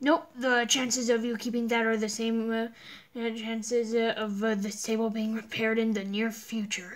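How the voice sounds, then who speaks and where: In a put-on character voice, a female-sounding speaker delivers fairly high-pitched, monotone lines with flat intonation at a moderate pace. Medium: game stream. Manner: loud, brash.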